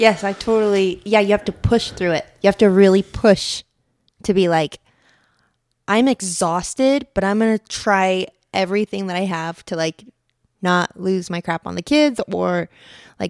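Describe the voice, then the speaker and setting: On a very clean recording with a silent background and a dry, close sound with no echo, a woman with an ordinary speaking voice talks at a medium pitch and a moderate pace with fairly even intonation. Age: 30s. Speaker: podcast co-host and mother. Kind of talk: casual chat. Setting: home podcast with spouse.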